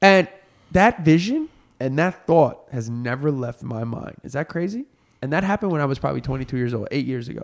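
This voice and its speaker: A man speaks in an ordinary speaking voice, fairly high-pitched for a man, with lively intonation at a fairly quick pace. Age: 30s. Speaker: podcast host. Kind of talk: casual chat. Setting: studio.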